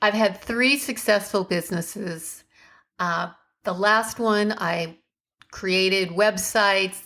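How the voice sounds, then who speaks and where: In a very clean recording with a silent background, a woman with a normal speaking voice and medium pitch talks at a fairly slow pace with ordinary pitch variation. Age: 50s. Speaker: podcast host and online entrepreneur. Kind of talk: podcast monologue. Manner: casual, conversational.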